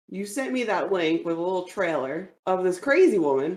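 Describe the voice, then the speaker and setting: A woman with an American accent, lively intonation and a moderate pace. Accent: slight New Jersey, stronger when angry. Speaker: podcast co-host. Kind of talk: casual chat.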